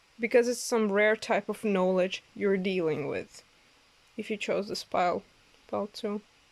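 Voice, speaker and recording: A woman with a non-native accent talks in a fairly even intonation. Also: medium pitch for a woman, moderate pace. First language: not English. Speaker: tarot reader. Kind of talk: oracle card reading. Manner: halting, many fillers.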